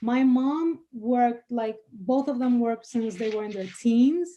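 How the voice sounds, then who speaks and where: A woman with a Spanish accent, high-pitched with a dark, mellow tone, at a moderate pace with ordinary pitch variation, against a quiet background. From Dominican Republic. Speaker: attorney. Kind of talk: interview. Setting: podcast studio.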